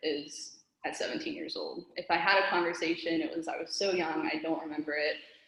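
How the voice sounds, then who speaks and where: With an American accent, a woman speaks at a fairly low pitch with ordinary pitch variation, and the room gives off audible echo. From US, Mexican-American family. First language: Spanish. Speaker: open-mic poet. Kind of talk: casual talk; poetry reading. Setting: open-mic event.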